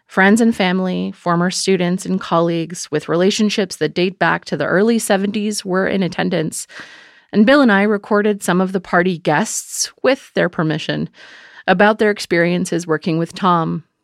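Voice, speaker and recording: A woman talks in an unremarkable speaking voice at a medium pitch, with ordinary pitch variation and a moderate pace. The sound is dry and close with no echo, on a very clean recording with a silent background. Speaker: podcast narrator and host. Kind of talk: scripted narration.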